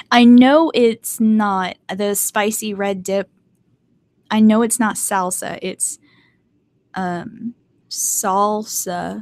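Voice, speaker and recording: In a North Carolina accent, a woman speaks at a very slow pace with long, frequent pauses, the sound dry and close with no echo. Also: fairly even intonation. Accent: Southern US (North Carolina), mild. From US, mixed (born Maryland, raised Hawaii and elsewhere). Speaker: artist and video creator. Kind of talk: casual livestream chat. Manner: casual, hesitant with many fillers.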